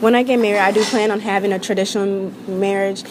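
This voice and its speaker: Noticeable background noise sits behind a woman talking at a very fast pace. Her intonation stays fairly even. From born in Nigeria, raised mainly in the US. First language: Yoruba, learned alongside English. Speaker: interviewee. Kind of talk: interview testimony.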